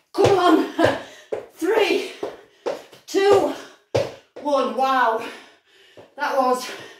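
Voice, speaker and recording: A woman talks at a very slow pace. Noticeable background noise and audible room echo are present. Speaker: fitness instructor. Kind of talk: workout coaching. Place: kitchen. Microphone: camera far.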